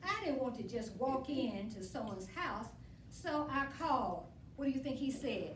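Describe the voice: With audible room echo around her, a woman speaks at a fairly high pitch with big pitch swings. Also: moderate pace.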